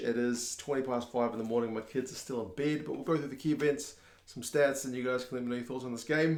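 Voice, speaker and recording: Quiet and raspy, a man uses a put-on character voice at a medium pitch. He talks at a very fast pace. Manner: hushed, keeping voice down.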